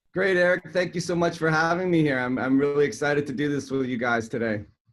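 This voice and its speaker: With music in the background, a man with a Canadian accent talks at a very fast pace in a fairly high pitch, with ordinary pitch variation. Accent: Canadian, noticeable. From Canada, Toronto. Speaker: chiropractor and health coach. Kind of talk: podcast interview.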